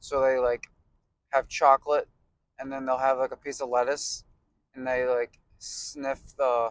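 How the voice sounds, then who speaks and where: Mumbling at a moderate pace, a man is heard with a dry, close sound and no echo. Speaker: fitness vlogger. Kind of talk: casual vlog chat. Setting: in a car, then gym. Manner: casual, joking.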